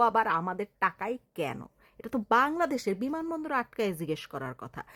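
The voice is bright and sharp, animated, with very wide pitch swings, recorded dry and close with no echo against a very clean, silent background. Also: woman. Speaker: political commentator. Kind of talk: political rant.

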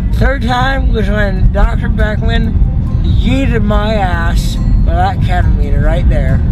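Over clear music in the background, a man talks at a very slow pace with a dry sound and no echo. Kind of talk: casual vlog chat. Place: car. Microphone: phone near.

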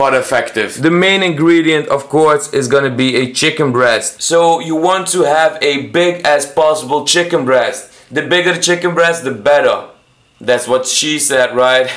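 With ordinary variation in pitch, a man speaks at a moderate speed. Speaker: home cook vlogger. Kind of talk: casual vlog chat. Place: kitchen. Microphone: phone near.

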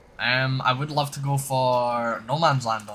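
Speaking with a Scottish accent, a man has a bright, sharp tone. His pitch is medium. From Scotland, Edinburgh. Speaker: video game streamer. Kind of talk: live-stream chat with gameplay. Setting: home room during live stream. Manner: casual, chatty.

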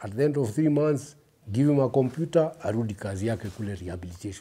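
The voice has a dark, mellow tone and moves at a moderate pace. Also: man. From Kenya. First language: Kikuyu. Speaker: recovered addict and author; interview guest. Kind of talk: personal storytelling in interview. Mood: reflective, earnest. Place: studio. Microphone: lapel.

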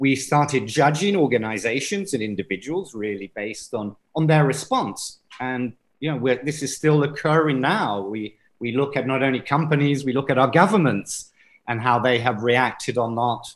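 A man's talk keeps a moderate pace and shows ordinary pitch variation. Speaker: conference presenter. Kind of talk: lecture. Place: home room. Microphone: webcam.

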